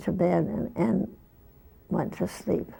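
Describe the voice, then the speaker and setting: A woman at a very slow pace. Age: 80s+. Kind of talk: interview answer. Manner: slow, hesitant.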